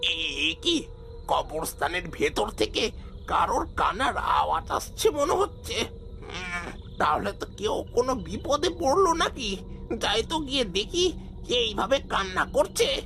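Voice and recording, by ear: Clear music in the background plays under a cartoonish character voice speaking at a fairly slow pace. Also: man.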